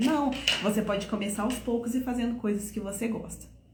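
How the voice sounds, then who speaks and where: Over noticeable background noise and audible room echo, a woman speaks at a fairly high pitch and a moderate pace. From Brazil, Minas Gerais. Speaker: French teacher. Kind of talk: online lesson / tutorial. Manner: animated.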